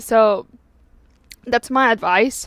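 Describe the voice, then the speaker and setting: In a non-native accent, a woman speaks at a fairly high pitch with fairly even intonation, the sound dry and close with no echo. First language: not English. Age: 20s. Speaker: YouTuber giving life advice. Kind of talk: casual vlog monologue. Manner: halting, many fillers.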